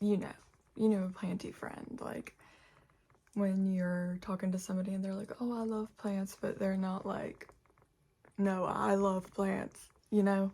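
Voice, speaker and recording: In an American accent, the speaker uses a relaxed tone and monotone, flat intonation, going at a fairly slow pace with long, frequent pauses. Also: woman, medium pitch for a woman. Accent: country accent, lessened on video. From West Virginia, Charleston. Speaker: plant YouTuber. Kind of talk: casual chat. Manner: relaxed, chatty.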